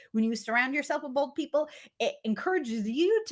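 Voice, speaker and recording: A woman speaks loudly in an animated tone. Her pitch swings very widely. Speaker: business coach. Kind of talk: motivational talk.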